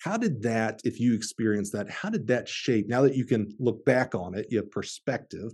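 A man talks at a moderate pace in a Southern US accent, his pitch medium with ordinary variation. His tone is dark and mellow, and the background is quiet. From Alabama. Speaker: podcast host. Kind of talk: interview.

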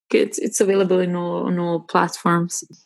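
A woman is heard with music in the background. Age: 30s. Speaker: music composer. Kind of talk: interview. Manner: halting, frequent repetitions.

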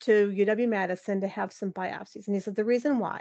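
A woman with a normal speaking voice talks at a fairly quick pace and medium pitch with ordinary pitch variation, recorded dry and close with no echo against a quiet background. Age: 40s. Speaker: motivational speaker, former hospital worker. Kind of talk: casual interview.

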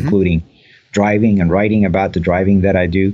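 A man speaks with a Spanish accent at a fairly quick pace. His pitch is fairly low. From Cuba. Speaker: retired executive and motorsports writer. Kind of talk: casual interview.

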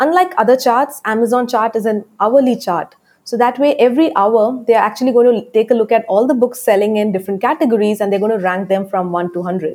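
A woman with an Indian accent talks at a very fast pace, leaving hardly any pauses. Her pitch is fairly high, with ordinary variation. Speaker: book publisher and author coach. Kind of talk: interview. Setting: remote call.

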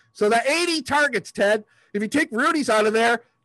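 A man uses a raised, projected voice with lively intonation. He talks at a moderate pace, and the sound is dry and close with no echo. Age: 50s. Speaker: sports podcast co-host. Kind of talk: casual chat.

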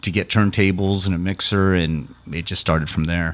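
A man talks at a very deep, low pitch. His intonation stays monotone and flat. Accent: American. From US Southwest, Summerton area near Yuma. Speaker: hip-hop artist and music producer. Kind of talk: casual interview.

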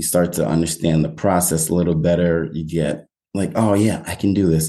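A man with an American accent has a very deep, low pitch and a dark, mellow tone, his intonation fairly even. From New York, Westchester County. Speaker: real estate agent. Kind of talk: casual interview.

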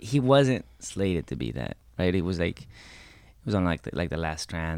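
Fairly quick speech from a male speaker with a very deep, low pitch, very cleanly recorded against total background silence. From Mexican-American, US. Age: 30s. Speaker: theater actor. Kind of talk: casual chat.

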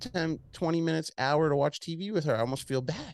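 The background is quiet as a man talks at a very fast pace. His pitch is fairly high, with ordinary variation. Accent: American. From Long Island, New York. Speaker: entrepreneur and podcast host. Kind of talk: casual interview chat. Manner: casual, profane, animated.

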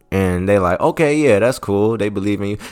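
An animated tone with very wide pitch swings comes through a very clean recording over a silent background. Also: man. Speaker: motivational podcast host. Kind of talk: casual motivational monologue. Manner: animated, talking from the heart.

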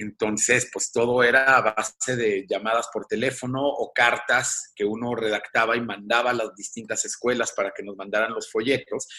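Bright and sharp in tone, this voice moves at a moderate pace with monotone, flat intonation. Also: man, medium pitch for a man. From Mexico. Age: 40s. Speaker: composer and musician. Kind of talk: interview.

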